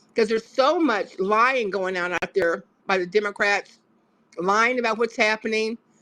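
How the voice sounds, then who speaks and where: A woman speaks at a moderate pace, with a fairly high pitch and ordinary pitch variation. It is an unremarkable speaking voice. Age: 60s. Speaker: panel participant in a call-in discussion. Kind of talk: political opinion discussion.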